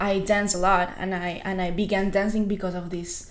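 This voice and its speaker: Speaking with a Spanish accent at a fairly quick pace, a woman uses a medium pitch and monotone, flat intonation, with noticeable background noise and audible room echo. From Colombia, Bucaramanga. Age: 20s. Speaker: singer. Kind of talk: interview.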